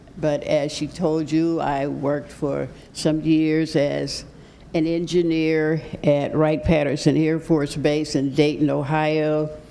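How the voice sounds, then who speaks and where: In a room with audible echo, a woman with an American accent speaks very slowly in a very deep, low pitch, her tone dark and mellow and her intonation monotone and flat. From Pittsburgh, Pennsylvania. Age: 80s+. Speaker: retired mathematics professor and engineer, guest speaker. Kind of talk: talk to a church congregation.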